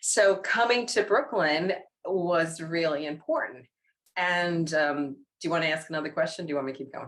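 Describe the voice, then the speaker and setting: In a New York accent, a woman speaks at a moderate pace in a fairly low voice with ordinary pitch variation. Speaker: practitioner. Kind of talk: casual conversation.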